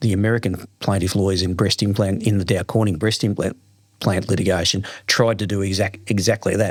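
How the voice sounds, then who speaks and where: A man with a strong Australian accent, fairly low-pitched, at a fairly quick pace, on a very clean recording with a silent background. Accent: broad Australian. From Australia, Melbourne's west. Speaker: lawyer. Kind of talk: interview. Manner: repeats words, animated storytelling.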